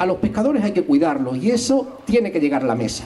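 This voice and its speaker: This man has a high-pitched voice. He talks at a fairly quick pace. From not from Algarrobo, moved there a few years ago. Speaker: history teacher and local party candidate; election candidate. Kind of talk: political rally speech. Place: garden. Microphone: handheld.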